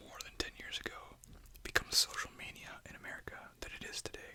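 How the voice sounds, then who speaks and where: Whispering over noticeable background noise. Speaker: ASMR creator. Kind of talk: ASMR reading with gum chewing, whispered. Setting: close-mic ASMR, headphones.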